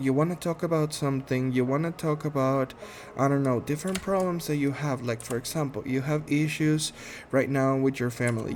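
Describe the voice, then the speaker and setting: With a Spanish accent, a man speaks at a moderate pace and a fairly high pitch with ordinary pitch variation. Music plays in the background. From Guatemala. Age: 30s. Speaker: podcast host, medical assistant. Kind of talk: casual monologue introduction. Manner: halting, many fillers.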